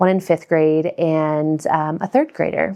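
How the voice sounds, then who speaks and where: A woman speaks fairly slowly with fairly even intonation. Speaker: school parent. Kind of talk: interview. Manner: halting.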